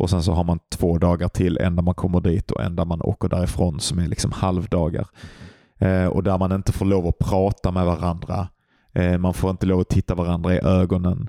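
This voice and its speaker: Very deep and low in pitch, this man's voice has a dark, mellow tone and a flat, monotone delivery at a fairly quick pace, with very even loudness and a dry, close sound with no echo. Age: 30s. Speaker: podcast co-host, meditation practitioner. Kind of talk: casual chat.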